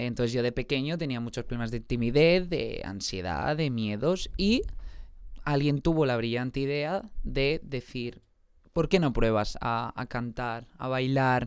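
A man talks at a fairly slow pace in a normal speaking voice, medium in pitch with ordinary pitch variation. The recording is very clean, with a silent background. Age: 20s. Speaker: singer and musical theatre actor. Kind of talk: casual interview chat.

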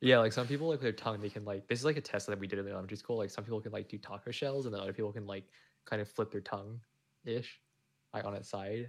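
Mumbling at a very fast pace, a man with a fairly low pitch and fairly even intonation is heard in a very clean recording with a silent background. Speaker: podcast co-host. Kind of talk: casual chat. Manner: rambling, filler-heavy.

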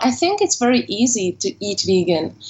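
This woman has a fairly high voice and speaks with a Hungarian accent. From Hungary. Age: 20s. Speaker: English teacher. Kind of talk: interview.

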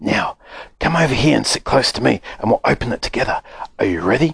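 In a put-on character voice, a man whispers at a very fast pace, raspy and dry, with a close sound and no echo. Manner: whispering, excited.

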